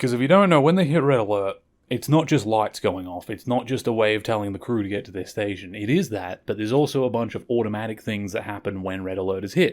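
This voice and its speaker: With hardly any pauses, a man rushes at a very fast pace, his fairly low pitch showing ordinary variation. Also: very clean recording, silent background. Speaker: podcast host. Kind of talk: podcast episode review monologue. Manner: stumbles over words; casual conversational.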